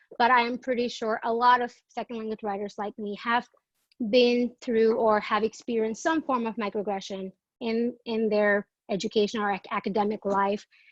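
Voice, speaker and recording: Speaking with a Bengali accent, a woman uses a fairly high pitch. Her pace is moderate and her intonation fairly even. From Bangladesh. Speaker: graduate student presenter. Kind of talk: academic presentation. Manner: halting.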